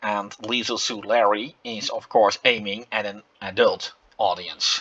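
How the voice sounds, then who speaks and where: A man speaks in a Dutch accent with a bright, sharp tone. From Netherlands. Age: 40s. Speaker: gaming YouTuber. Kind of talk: game commentary. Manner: halting, many fillers.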